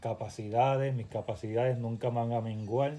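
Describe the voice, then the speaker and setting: A somewhat breathy, medium-pitched man's voice, dark and mellow, with fairly even intonation. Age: 40s. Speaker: fitness coach. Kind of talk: podcast monologue.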